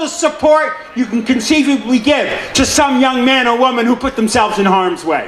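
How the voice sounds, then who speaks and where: A man with an American accent speaks at a moderate pace and an extremely high pitch, with ordinary pitch variation. Noticeable background noise sits behind him. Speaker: city councilman giving a speech. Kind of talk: public speech at a veterans celebration. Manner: commanding, energetic.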